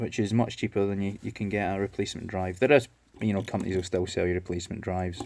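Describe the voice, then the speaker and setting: A man's very deep, low voice at a very fast pace, in a very clean recording with a silent background. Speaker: electronics repair hobbyist. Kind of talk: tutorial. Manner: hesitant, many fillers; casual.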